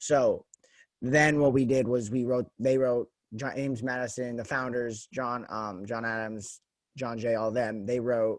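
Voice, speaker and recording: A normal speaking voice from a man at medium pitch, fairly slow and with fairly even intonation, on a very clean recording with a silent background. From US West, Las Vegas. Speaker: podcast host. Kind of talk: casual interview chat.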